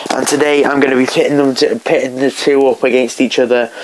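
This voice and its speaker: A man talks in a flat monotone over noticeable background noise. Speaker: YouTuber, TV show reviewer. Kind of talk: casual vlog commentary. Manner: halting, many fillers.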